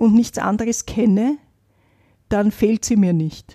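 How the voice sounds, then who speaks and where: The sound is dry and close with no echo as a somewhat breathy, dark, mellow voice moves at a fairly slow pace with fairly even intonation. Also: woman. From Vienna, Austria. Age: 70s. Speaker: poverty activist, single mother. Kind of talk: interview, personal testimony.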